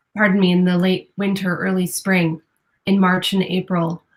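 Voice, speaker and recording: A medium-pitched female voice. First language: Spanish. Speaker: newspaper reporter. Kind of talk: interview. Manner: hesitant, many fillers.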